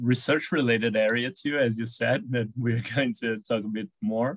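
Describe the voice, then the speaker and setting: This man has a Brazilian accent and a medium pitch. His pitch variation is ordinary. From Brazil, Sao Paulo. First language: Portuguese. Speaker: veterinarian, horse behaviour consultant. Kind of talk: interview.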